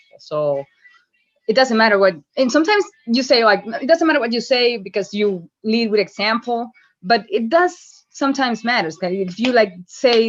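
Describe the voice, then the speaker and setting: A woman's fairly high voice with lively intonation at a moderate pace against a quiet background. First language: not English. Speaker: call participant. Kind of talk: group call sharing. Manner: halting, many fillers and repeats.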